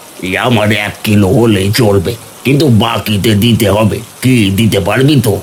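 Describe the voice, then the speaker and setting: A cartoonish character voice at a moderate pace over clear background noise. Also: man, fairly low pitch for a man. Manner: brash, loud.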